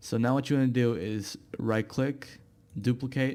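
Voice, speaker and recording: A man with a non-native accent at a medium pitch, fairly slow pace and monotone, flat intonation. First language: not English. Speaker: YouTube tutorial creator. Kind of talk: software tutorial. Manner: casual, hesitant with fillers.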